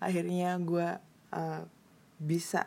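The tone is dark and mellow. The intonation stays monotone and flat. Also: woman. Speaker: podcaster. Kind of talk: casual solo monologue.

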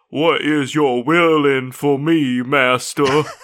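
A man puts on a character voice with a Louisiana accent. He speaks at a very slow pace and a fairly high pitch.

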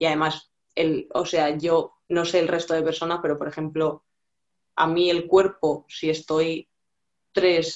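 Her intonation is monotone and flat, at a fairly slow pace. This woman's pitch is fairly low. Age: 20s. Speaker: fitness client. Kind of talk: casual chat.

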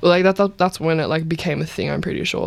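This woman has an Australian accent. Her pitch is very deep and low. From Melbourne, Australia (Point Cook). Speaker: musician. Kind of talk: casual chat.

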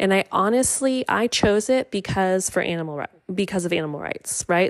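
In a very clean recording with a silent background, a woman has an unremarkable speaking voice, medium in pitch and moderate in pace. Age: 30s. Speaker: podcast host, nutrition coach. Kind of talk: solo podcast monologue.

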